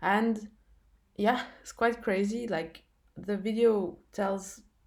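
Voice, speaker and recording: In a non-native accent, a woman speaks at a very slow pace and a medium pitch, her intonation fairly even. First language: not English. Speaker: spiritual testimony vlogger. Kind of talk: testimony. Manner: halting, many fillers and restarts.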